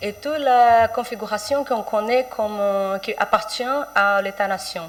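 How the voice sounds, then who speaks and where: With a Portuguese accent, a woman speaks at a fairly slow pace with ordinary pitch variation, and there is noticeable background noise. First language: Portuguese (speaking French). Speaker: writer and poet. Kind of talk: panel presentation. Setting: round table with audience. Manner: halting, many hesitations.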